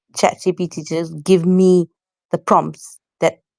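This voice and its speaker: A woman speaks very slowly at a fairly low pitch. The sound is dry and close, with no echo. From South Africa, Johannesburg. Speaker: content creator. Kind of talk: casual chat.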